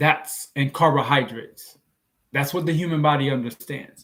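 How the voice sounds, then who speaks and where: A man's fairly high, somewhat breathy voice at a fairly quick pace. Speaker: health and diet vlogger. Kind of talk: live stream Q&A talk. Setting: live stream on social media.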